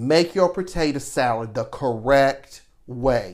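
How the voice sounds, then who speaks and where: A man's pitch swings very widely, and the recording is very clean, with a silent background. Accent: Southern US. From US South, Savannah, Georgia. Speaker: podcast host, lifestyle and etiquette personality. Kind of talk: casual chat.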